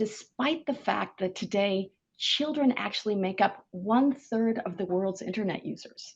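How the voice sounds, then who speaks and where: A woman's somewhat breathy, fairly high voice with ordinary pitch variation, with an American accent. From US Pacific Northwest, Seattle. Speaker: government online safety regulator. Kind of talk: conference keynote talk.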